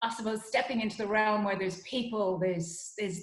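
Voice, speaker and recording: Pitched fairly high, a woman speaks with fairly even intonation, and audible room echo surrounds her voice. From Ireland, Dublin. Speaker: psychologist and wellness consultant. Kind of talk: interview conversation.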